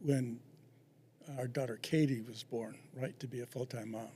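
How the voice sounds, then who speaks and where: This man's voice is somewhat breathy, with a medium pitch. His intonation stays fairly even. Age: 70s. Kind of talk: interview. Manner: halting.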